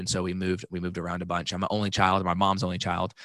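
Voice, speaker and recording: Against a quiet background, a man with a very deep, low pitch and an American accent talks very fast in a bright, sharp tone. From Texas, Dallas. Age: 30s. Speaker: life coach. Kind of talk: casual chat.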